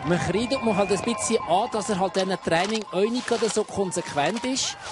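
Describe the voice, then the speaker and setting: A man with a Swiss accent and a relaxed, enthusiastic tone at a moderate pace, with noticeable background noise. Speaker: expert co-commentator, ski analyst. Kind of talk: live sports commentary, technical expert analysis. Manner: relaxed, conversational, enthusiastic.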